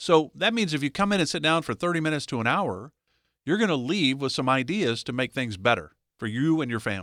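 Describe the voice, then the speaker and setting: At a very fast pace, a man speaks with a fairly high pitch and very wide pitch swings. The recording is very clean, with a silent background. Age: 60s. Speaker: radio co-host. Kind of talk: radio show talk.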